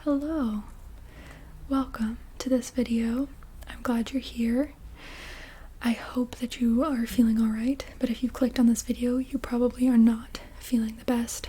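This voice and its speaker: Soft-spoken and calm in tone, this voice moves at a fairly slow pace with long, frequent pauses. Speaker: ASMR creator guiding calming exercises. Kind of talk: calming introduction to camera. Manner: soft-spoken, calm, reassuring.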